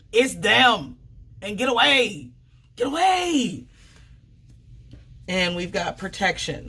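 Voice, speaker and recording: Very slowly, a woman speaks with very wide pitch swings and long, frequent pauses. Noticeable background noise sits behind her. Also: medium pitch for a woman. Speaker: tarot reader. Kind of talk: tarot reading. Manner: halting.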